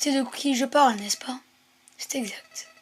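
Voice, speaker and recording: Music plays in the background as a woman speaks at a high pitch with ordinary pitch variation. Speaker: gaming video creator. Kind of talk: gameplay commentary reading game dialogue aloud.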